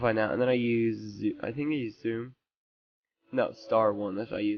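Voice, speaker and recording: At a medium pitch and moderate pace, a man talks with monotone, flat intonation. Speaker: gaming tutorial youtuber. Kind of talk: tutorial. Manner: hesitant, many fillers.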